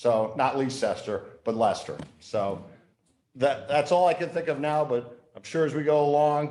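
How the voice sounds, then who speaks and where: A man's fairly high voice with ordinary pitch variation and audible room echo. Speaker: town council member. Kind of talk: public meeting remarks. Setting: council meeting chamber. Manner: loud.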